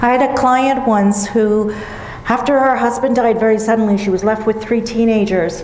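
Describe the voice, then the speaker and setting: A woman with a fairly high pitch and ordinary pitch variation speaks over noticeable background noise, with audible room echo. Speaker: grief counsellor. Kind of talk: seminar talk. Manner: loud.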